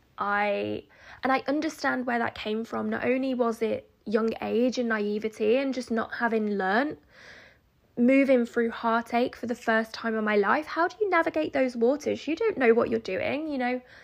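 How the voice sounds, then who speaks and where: A woman talks in a normal speaking voice, pitched fairly high, at a moderate pace. The recording is very clean, with a silent background. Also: ordinary pitch variation. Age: 30s. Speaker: podcast host, self-development coach. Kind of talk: solo podcast monologue. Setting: recording at home.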